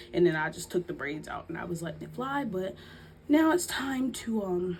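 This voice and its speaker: Soft-spoken, a woman talks at a moderate pace with a fairly low pitch and lively intonation. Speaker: YouTuber, lifestyle vlogger. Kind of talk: story time vlog, casual chat. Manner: soft-spoken, quiet for the baby; rambling, halting with fillers.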